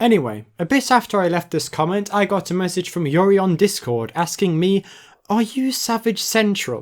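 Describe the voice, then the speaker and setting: Speaking at a fairly quick pace with a British accent, a man with a high-pitched voice is heard on a very clean recording against a silent background. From Britain. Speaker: commentary youtuber. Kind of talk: video essay narration.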